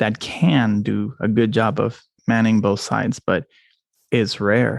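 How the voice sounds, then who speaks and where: A man with vocal fry speaks at a fairly low pitch with ordinary pitch variation. His pace is very slow and his loudness very even. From Puerto Rico, moved to Georgia at 13. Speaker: immigration lawyer, firm owner. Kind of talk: casual interview chat.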